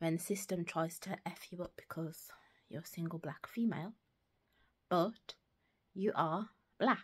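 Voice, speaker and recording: A woman with a British accent speaks at a fairly low pitch and a fairly slow pace, her voice somewhat breathy. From United Kingdom. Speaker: secondary school teacher. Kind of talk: casual talk to camera. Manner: hesitant, thinking aloud.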